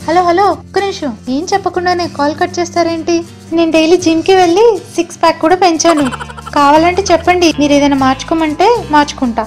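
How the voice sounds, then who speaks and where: A woman at an extremely high pitch, with music in the background. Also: ordinary pitch variation. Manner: pleading, flustered.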